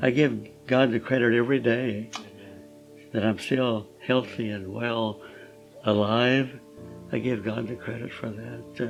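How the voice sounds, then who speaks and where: Over music in the background, a man with a medium pitch talks at a fairly slow pace with fairly even intonation and long, frequent pauses. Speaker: Korean War veteran. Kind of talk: interview answer. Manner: hesitant, reflective.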